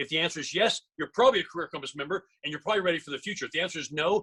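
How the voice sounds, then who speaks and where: This man's voice is fairly high, with a bright, sharp tone. The sound is dry and close, with no echo. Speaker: real estate trainer. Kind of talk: live seminar. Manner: fast; animated.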